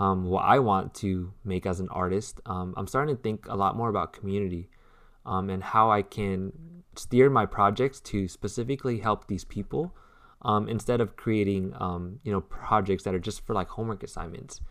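The pace is moderate and the pitch varies in an ordinary way in an ordinary speaking voice. Nothing but silence lies behind it on this very clean recording. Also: man. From US, raised Vietnamese-American. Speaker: artist and designer, podcast co-host. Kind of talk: casual chat.

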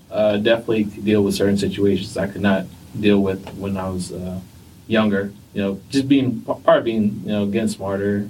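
The voice is somewhat breathy, with fairly even intonation. It moves at a moderate pace with an American accent. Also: man. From New Jersey, Vietnamese heritage.

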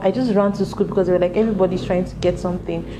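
Noticeable background noise sits behind a woman talking at a very fast pace. Her medium pitch carries fairly even intonation. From Nigeria, Lagos. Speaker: podcast host telling own story. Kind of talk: personal storytelling monologue.

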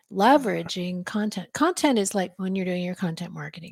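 Her voice is somewhat breathy. This woman speaks at a medium pitch with ordinary pitch variation. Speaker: podcast host and presenter. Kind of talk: business presentation. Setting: video call with screen share.

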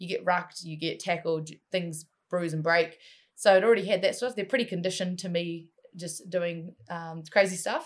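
At a moderate pace, a woman with a fairly low pitch keeps her intonation fairly even while her loudness swings widely. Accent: New Zealand. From New Zealand, Waikato (Matamata). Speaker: MMA fighter and wrestler. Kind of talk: casual interview.

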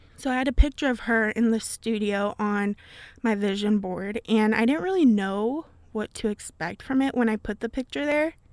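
A woman with an unremarkable speaking voice, fairly high pitch and ordinary pitch variation at a moderate pace, in a dry, close sound with no echo on a very clean recording with a silent background. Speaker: college radio host and podcaster. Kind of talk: casual solo podcast chat. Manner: chatty, laughs often, casual.

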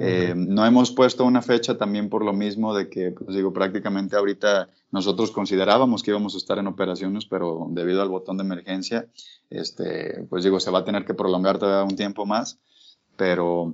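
With an ordinary speaking voice, a man talks at a fairly quick pace, his pitch fairly low and his intonation fairly even. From Mexico, Guadalajara (Jalisco). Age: 20s. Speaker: urban fishing project founder, sport angler. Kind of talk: interview.

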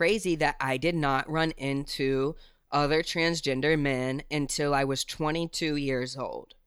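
An unremarkable speaking voice from a man, fairly high in pitch, with fairly even intonation at a moderate pace, on a very clean recording with a silent background. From West Virginia. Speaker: rapper and music video director. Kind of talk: interview.

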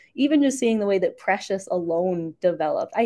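A woman talks at a fairly quick pace, her medium-pitched voice dark and mellow in tone with lively intonation. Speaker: podcast co-host. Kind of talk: casual sports banter. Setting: hotel room in Ottawa, remote.

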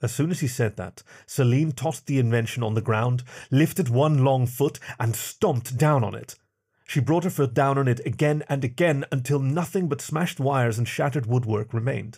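Speaking at a fairly quick pace, a man uses a dramatic, somewhat breathy tone with ordinary pitch variation. The recording is very clean and the background silent. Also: medium pitch for a man. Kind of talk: sci-fi audiobook narration.

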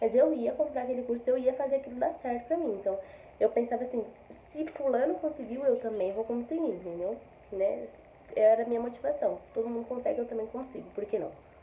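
Over noticeable background noise, a woman with a high pitch talks at a fairly quick pace with ordinary pitch variation. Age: 20s. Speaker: affiliate marketer. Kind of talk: testimony. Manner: casual, filler-heavy.

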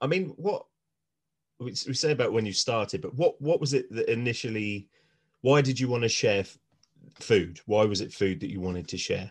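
The speaker's somewhat breathy voice moves at a moderate pace, broken by long, frequent pauses. The background is quiet. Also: man, medium pitch for a man. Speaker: podcast host. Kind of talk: casual chat.

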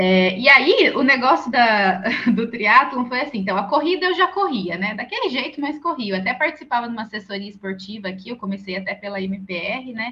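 Her intonation is lively as a woman speaks at a moderate pace in a high voice. Noticeable background noise can be heard. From Brazil, interior of São Paulo state (Santa Bárbara d'Oeste). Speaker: triathlete and nutritionist. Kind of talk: podcast interview.

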